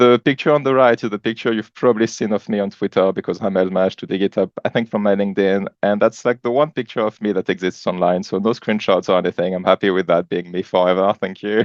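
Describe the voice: A man talks at a fast pace. He leaves few pauses. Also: fairly low pitch for a man, fairly even intonation, dry, close sound with no echo.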